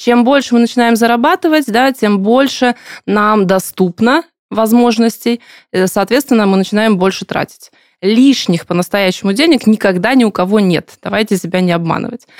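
A woman with a normal speaking voice talks at a moderate pace in a fairly high pitch with ordinary pitch variation. The sound is dry and close, with no echo. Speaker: podcast host. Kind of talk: interview about personal finance.

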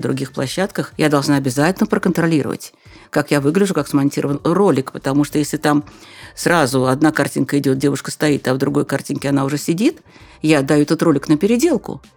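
This woman has a very deep, low pitch, speaking at a moderate pace with ordinary pitch variation. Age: old. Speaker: journalist and business trainer. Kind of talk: interview.

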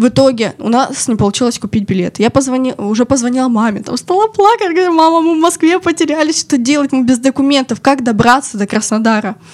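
Very fast speech with hardly any pauses and lively intonation, over noticeable background noise. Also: woman, high pitch for a woman. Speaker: media company special projects manager. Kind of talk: casual chat, personal stories. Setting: studio.

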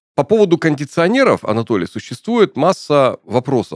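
In a very clean recording with a silent background, a man speaks at a moderate pace with vocal fry and very wide pitch swings. The sound is dry and close, with no echo. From Urals, Russia. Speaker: podcast host. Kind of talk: interview. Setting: studio.

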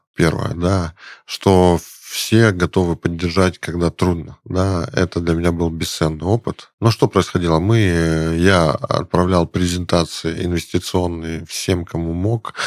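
In a dry, close sound with no echo, a man with a very deep, low pitch speaks very slowly in a fairly even intonation. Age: 40s. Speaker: startup founder. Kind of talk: interview. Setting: studio.

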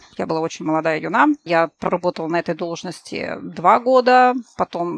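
An ordinary speaking voice with ordinary pitch variation, in a dry, close sound with no echo. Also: woman. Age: 30s. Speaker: project manager. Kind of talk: casual chat.

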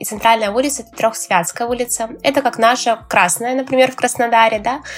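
A woman talks at a very fast pace with a fairly high pitch. Noticeable background noise runs behind her. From Russia, Tver (childhood), mostly Krasnodar. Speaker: energy coach and self-discovery teacher. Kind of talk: casual interview.

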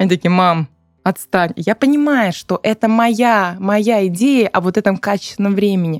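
The voice moves at a moderate pace with ordinary pitch variation, dry and close with no echo, while music plays in the background. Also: woman. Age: 30s. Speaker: podcast co-host, psychotherapist. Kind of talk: casual chat.

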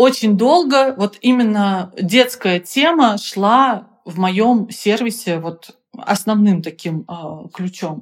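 Very slowly, a woman with a fairly high pitch speaks with lively intonation and big swings in loudness. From Russia, Penza. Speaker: business founder. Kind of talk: interview.

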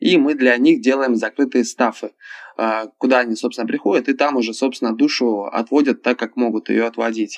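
Recorded dry and close with no echo, a man with a plain, everyday voice talks at a moderate pace and a medium pitch. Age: 20s. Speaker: club show performer and actor. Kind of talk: casual chat. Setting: phone call.

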